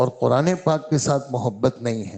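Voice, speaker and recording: Lively in intonation, a man speaks at medium pitch with a dark, mellow tone. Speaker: Islamic scholar giving a sermon. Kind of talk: religious sermon after fajr prayer in a mosque.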